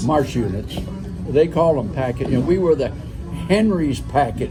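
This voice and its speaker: A man speaks. Music plays in the background. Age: 80s+. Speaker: retired automotive engineer. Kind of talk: interview answer. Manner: hesitant, conversational.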